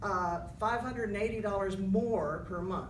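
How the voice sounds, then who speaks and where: A woman speaks at a moderate pace in a medium pitch. Noticeable background noise and audible room echo fill the recording. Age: 60s. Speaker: town hall attendee. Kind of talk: public comment.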